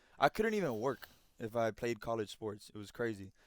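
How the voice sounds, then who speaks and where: A man with a Miami accent and a medium pitch, in a very clean recording with a silent background. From Miami, Florida (Cuban-American). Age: 20s. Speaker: former college baseball player, content creator. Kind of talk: casual chat. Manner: animated.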